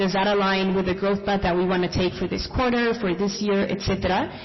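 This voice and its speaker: Audible room echo and noticeable background noise surround a woman speaking at a medium pitch. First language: not English. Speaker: small business founder. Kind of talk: panel discussion.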